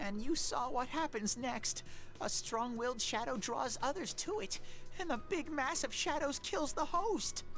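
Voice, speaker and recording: A put-on character voice with a high pitch comes through over clear background noise. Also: moderate pace. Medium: video game.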